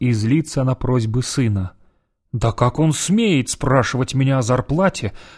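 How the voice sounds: The background is quiet. The speaker uses a natural reading voice.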